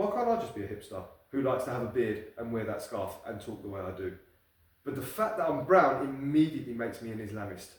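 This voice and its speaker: The speech comes very fast and somewhat breathy, in an East London accent with lively intonation. Audible room echo surrounds it. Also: man, medium pitch for a man. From London, East End. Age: young. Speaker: podcast host. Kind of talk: casual chat.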